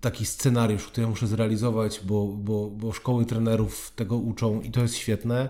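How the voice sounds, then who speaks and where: A man's dark, mellow tone. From southern Poland (Oświęcim). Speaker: foundation president and public speaking trainer. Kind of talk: interview.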